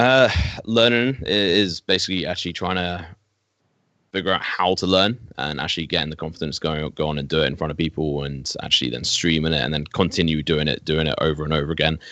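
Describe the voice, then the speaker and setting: Very deep and low, a man's voice carries a bright, sharp tone and vocal fry. He speaks at a very fast pace with ordinary pitch variation. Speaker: esports caster. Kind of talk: casual chat.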